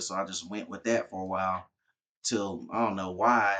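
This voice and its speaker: A man talks with an American accent at a fairly low pitch. His tone is bright and sharp, with fairly even intonation. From Texas (Arlington). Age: 30s. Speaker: former military, rapper. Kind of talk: casual interview.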